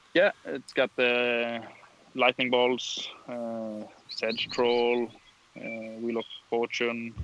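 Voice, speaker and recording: Amid noticeable background noise, a man speaks at a medium pitch and a very slow pace in a monotone, flat intonation. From southern Sweden. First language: Swedish. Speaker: tournament winner.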